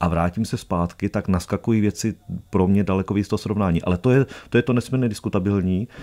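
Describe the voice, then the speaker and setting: A man's fairly low voice at a very fast pace, with ordinary pitch variation, over a quiet background. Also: very even loudness. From Czech Republic. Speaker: documentary filmmaker and traveller; guest. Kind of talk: radio interview. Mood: warm, reminiscent. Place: studio. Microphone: studio mic.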